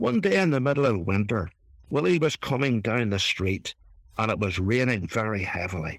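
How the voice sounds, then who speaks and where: A man with an Irish accent, moderate pace and ordinary pitch variation, in a very clean recording against a silent background. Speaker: reverend. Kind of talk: reflective talk.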